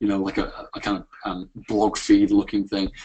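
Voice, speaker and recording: A man with a British accent, fairly low pitch, ordinary pitch variation and a moderate pace. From UK. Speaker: software founder presenting a product. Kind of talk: webinar product demo. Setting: live webinar. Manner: hesitant with many fillers.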